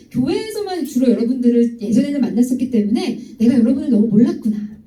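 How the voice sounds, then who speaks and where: Audible room echo surrounds a woman's high-pitched voice. She speaks at a fairly quick pace with lively intonation. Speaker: pastor and sex education lecturer. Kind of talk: lecture to high school youth group. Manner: fast.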